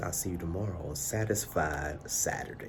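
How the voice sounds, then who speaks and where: Amid audible room echo, a man with a very deep, low pitch speaks with lively intonation. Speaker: church elder and video show host. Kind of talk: solo video commentary. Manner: animated.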